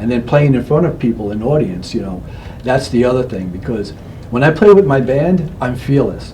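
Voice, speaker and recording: A man of medium pitch talks fairly quickly with lively intonation, his voice echoing audibly in the room over noticeable background noise. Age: 60s. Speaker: local guitarist and performer. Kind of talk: casual interview chat.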